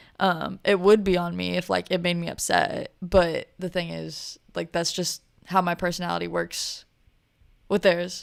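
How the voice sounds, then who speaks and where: A woman with an American accent speaks at a fairly slow pace on a very clean recording with a silent background. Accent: people ask if they're from Texas. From Missouri. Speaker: podcast host, server. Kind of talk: casual monologue.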